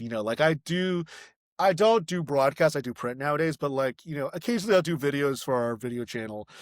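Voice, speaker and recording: Here is a man with a plain, everyday voice at a fairly high pitch, with ordinary pitch variation. He talks at a fairly quick pace on a very clean recording with a silent background. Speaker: print journalist.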